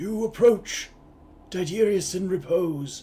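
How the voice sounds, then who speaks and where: Using a put-on character voice, a man speaks with lively intonation. He goes at a fairly slow pace. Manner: weathered, solemn, ominous.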